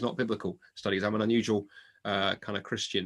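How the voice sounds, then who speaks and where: His voice is fairly low and has a bright, sharp tone as this man races along at a very fast pace. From South London, England. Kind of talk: casual interview chat.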